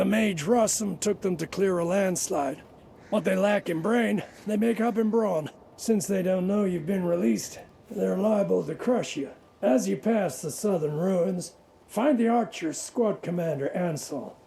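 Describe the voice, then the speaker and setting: A raspy put-on character voice at a middle pitch and moderate pace. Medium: video game. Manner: matter-of-fact, wry.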